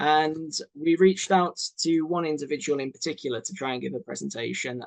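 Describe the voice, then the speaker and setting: This man speaks with a British accent. His pitch variation is ordinary. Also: dry, close sound with no echo. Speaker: doctor hosting a launch webinar. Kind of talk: webinar presentation. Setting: online webinar. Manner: casual with many fillers.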